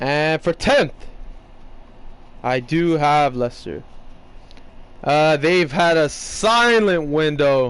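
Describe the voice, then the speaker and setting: Fairly high male voice at a very slow pace, with ordinary pitch variation and long, frequent pauses. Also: very even loudness. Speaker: gaming youtuber. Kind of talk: football predictions commentary. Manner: loud.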